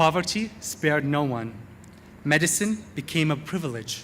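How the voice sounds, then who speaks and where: This is a man speaking. He talks with an Arabic accent. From Iraq, Baghdad. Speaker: university graduate, valedictorian. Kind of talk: commencement speech. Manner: formal.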